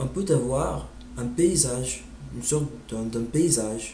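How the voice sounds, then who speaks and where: A man with an English accent, amid audible room echo. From United States. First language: English (speaking French). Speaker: language learner vlogger. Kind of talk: informal monologue on language. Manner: halting, many hesitations.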